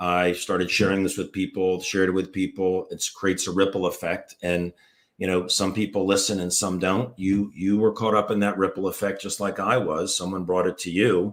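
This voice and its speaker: In an American accent, a man with a plain, everyday voice speaks fairly quickly at a fairly low pitch with fairly even intonation, on a very clean recording with a silent background. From US, Washington DC area. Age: 60s. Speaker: former foot surgeon, health product promoter. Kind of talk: live interview.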